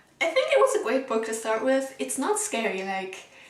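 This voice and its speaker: A woman at a moderate pace, with audible room echo and noticeable background noise. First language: German. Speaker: book vlogger. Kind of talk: casual vlog review. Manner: animated, casual.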